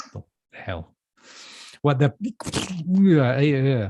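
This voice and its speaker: The speaker is a man with a medium pitch. The recording is dry and close, without any echo. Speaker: bookshop staff presenter. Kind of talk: casual chat. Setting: live stream. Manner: halting, many fillers.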